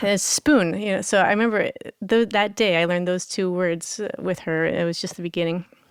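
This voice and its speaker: A woman speaks in a normal speaking voice. Her pitch is medium, with ordinary variation. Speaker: harpist. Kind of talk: interview storytelling.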